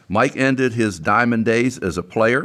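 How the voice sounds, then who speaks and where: A man with a western Pennsylvania accent is heard in a very clean recording with a silent background. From US, Beaver Falls, western Pennsylvania. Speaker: podcast host. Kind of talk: reading scripted intro; casual interview.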